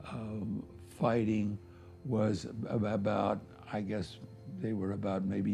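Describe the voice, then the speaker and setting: A man with a fairly low, dark, mellow, somewhat breathy voice speaks fairly slowly with fairly even intonation, and audible room echo surrounds him. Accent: American. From US Midwest, Cincinnati, Ohio. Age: 90s. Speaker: war veteran. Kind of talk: testimony. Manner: halting, with many fillers.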